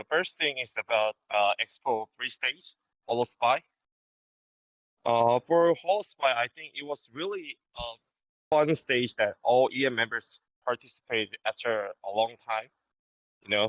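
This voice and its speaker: With a Korean accent, a man speaks at a medium pitch and a fairly slow pace with long, frequent pauses, showing ordinary pitch variation, in a dry, close sound with no echo. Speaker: fan guest. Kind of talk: reading from prepared script. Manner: hesitant, many fillers.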